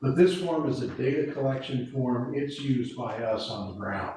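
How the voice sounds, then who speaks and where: A man at a fairly slow pace with ordinary pitch variation, amid audible room echo and noticeable background noise. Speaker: emergency preparedness volunteer. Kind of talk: committee meeting briefing. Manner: loud.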